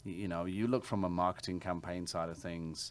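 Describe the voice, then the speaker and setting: The voice comes with an English accent and fairly even intonation on a very clean recording with a silent background. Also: man. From England. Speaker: realtor. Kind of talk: interview.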